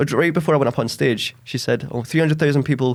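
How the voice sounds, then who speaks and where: A man with a west of Scotland accent talks with fairly even intonation on a very clean recording with a silent background. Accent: west of Scotland Scottish. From Scotland, Ayrshire west coast. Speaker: podcaster and stand-up comedian. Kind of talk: casual chat.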